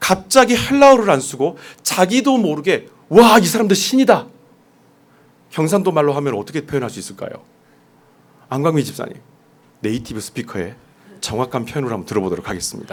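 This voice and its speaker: A man's fairly high-pitched voice with vocal fry, very wide pitch swings, a fairly quick pace and long, frequent pauses. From South Korea, Jeolla region. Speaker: pastor. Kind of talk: sermon. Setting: church.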